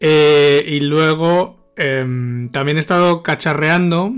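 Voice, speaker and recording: The clip has a normal speaking voice, and its pitch variation is ordinary. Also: man. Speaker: marketing consultant and co-host. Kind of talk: casual chat.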